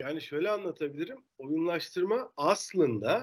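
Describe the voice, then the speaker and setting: A man with an ordinary speaking voice, lively intonation, and a fairly slow pace. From Turkey, Denizli. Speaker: marketing professional. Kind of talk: casual interview.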